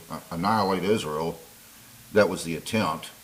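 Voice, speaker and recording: Against noticeable background noise, a man with a very deep, low voice speaks at a moderate pace with fairly even intonation. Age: 60s. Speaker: YouTube commentator. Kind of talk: monologue to camera.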